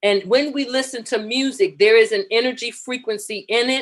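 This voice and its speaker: A woman with an American accent has an unremarkable speaking voice. Her pitch is fairly high, with ordinary variation. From New York, the Bronx. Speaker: talk show co-host. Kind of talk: inspirational talk show discussion.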